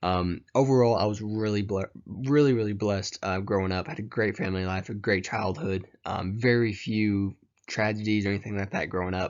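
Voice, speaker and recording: A man with a Tennessee accent speaks at a fairly low pitch, his intonation fairly even. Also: fairly quick pace. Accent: Southern US (Tennessee). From US South, rural Tennessee. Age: 20s. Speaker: college student. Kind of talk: class presentation. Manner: hesitant, many fillers.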